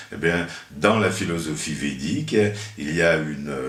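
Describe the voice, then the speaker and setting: Amid audible room echo and noticeable background noise, a man speaks with lively intonation. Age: 70s. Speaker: astrologer. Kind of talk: interview. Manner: halting.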